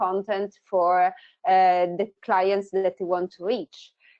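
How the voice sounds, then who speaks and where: A woman with an Italian accent speaks at a fairly slow pace. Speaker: tech company founder. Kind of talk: webinar presentation.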